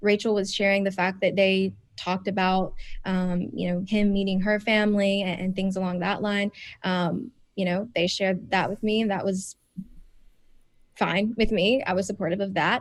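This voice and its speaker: The speaker talks at a moderate pace in an American accent, with monotone, flat intonation. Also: woman, medium pitch for a woman. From US South, South Carolina. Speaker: reality TV contestant. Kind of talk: podcast interview. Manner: soft-spoken.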